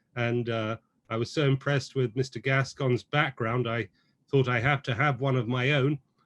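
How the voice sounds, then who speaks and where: A man with an English accent speaks at a moderate pace with fairly even intonation. The sound is dry and close, with no echo. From England. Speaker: judicial candidate, prosecutor. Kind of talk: campaign speech. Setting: video call.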